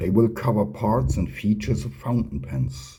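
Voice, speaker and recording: A man with a non-native accent speaks at a fairly slow pace, his dark, mellow tone marked by vocal fry and lively intonation. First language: not English. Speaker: fountain pen hobbyist and channel host. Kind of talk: tutorial.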